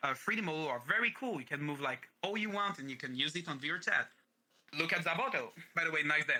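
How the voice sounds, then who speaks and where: A man with a French accent talks very fast at a fairly high pitch with lively intonation. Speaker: streamer and voice actor. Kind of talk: interview. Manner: halting.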